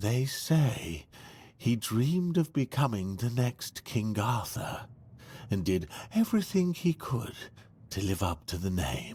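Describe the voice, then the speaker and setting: Putting on a character voice, a man speaks calmly at a fairly slow pace and medium pitch, recorded very cleanly over a silent background. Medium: video game. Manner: calm, explanatory.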